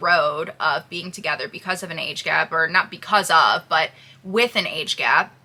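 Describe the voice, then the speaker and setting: With ordinary pitch variation, a woman talks in an unremarkable speaking voice at a medium pitch. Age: 20s. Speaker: YouTuber vlogging with her partner. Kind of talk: casual Q&A chat.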